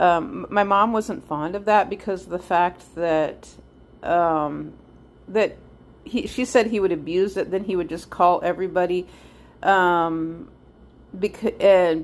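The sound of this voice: Her pitch sits fairly low for a woman and rises and falls with ordinary variation.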